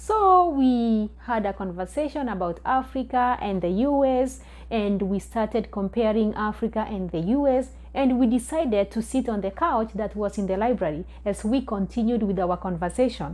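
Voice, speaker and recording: A woman with a Kenyan accent at a fairly high pitch, moderate pace and ordinary pitch variation, with hardly any pauses. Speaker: vlogger. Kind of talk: storytelling. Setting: recording alone at home.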